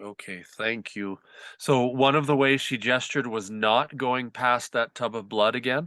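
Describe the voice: A man speaks fairly slowly at a medium pitch, with a bright, sharp tone. The sound is dry and close with no echo, and his pitch varies in an ordinary way.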